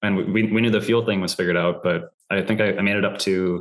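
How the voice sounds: A man's low voice with fairly even intonation. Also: fairly bright tone.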